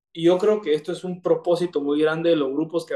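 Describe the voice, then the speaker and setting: A man's voice with a dark, mellow tone. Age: 30s. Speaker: recovering alcoholic sharing his story. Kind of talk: testimony. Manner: halting, many fillers and repetitions.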